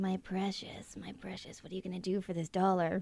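A woman uses a put-on character voice, raspy and medium in pitch. Her intonation is monotone and flat, and her pace is moderate.

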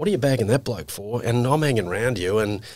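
A man with an Australian accent at a very fast pace, ordinary pitch variation, on a very clean recording with a silent background. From Queensland, Australia. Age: 50s. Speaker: financial services executive. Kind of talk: casual interview.

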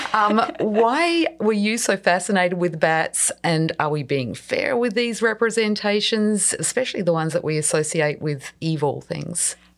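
With an Australian accent, a woman speaks with lively intonation and hardly any pauses over noticeable background noise. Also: medium pitch for a woman, moderate pace. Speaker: podcast host. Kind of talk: interview, scripted intro.

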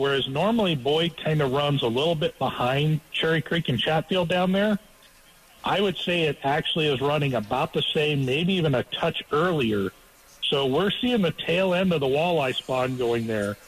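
With a normal speaking voice and a fairly high pitch, a man talks at a moderate pace in lively intonation and very even loudness. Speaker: fishing guide. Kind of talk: casual radio chat.

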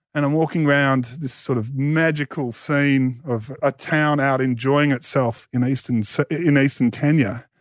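A man with an Australian accent talks at a moderate pace with hardly any pauses, using a fairly high pitch and fairly even intonation. The recording is very clean, with a silent background. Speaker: author and media personality. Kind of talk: casual chat.

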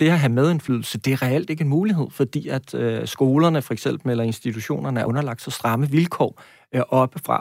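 A man speaks in a plain, everyday voice at a medium pitch and fairly quick pace. His pitch varies in an ordinary way, and the sound is dry and close with no echo. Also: very clean recording, silent background. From Denmark, Næstved (South Zealand). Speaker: university lecturer, education researcher. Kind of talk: radio interview. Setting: radio studio.

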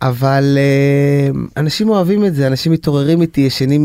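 Captured with a dry, close sound and no echo, a man with a dark, mellow tone speaks at a moderate pace, his fairly high pitch showing ordinary variation. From Israel, Bnei Brak. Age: 40s. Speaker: singer. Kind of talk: interview. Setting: studio. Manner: animated.

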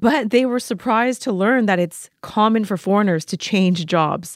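A woman with an unremarkable speaking voice talks at a moderate pace with lively intonation. The recording is very clean, with a silent background. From Vancouver, Canada. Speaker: podcast host. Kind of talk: interview.

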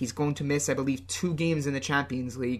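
A man's fairly high voice with vocal fry, at a fairly quick pace. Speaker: football podcast co-host. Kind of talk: casual chat. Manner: hesitant, many fillers and repetitions.

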